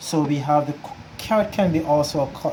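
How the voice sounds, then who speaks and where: Against noticeable background noise, a man with a fairly high pitch and ordinary pitch variation speaks at a moderate pace. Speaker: home cook. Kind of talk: cooking tutorial.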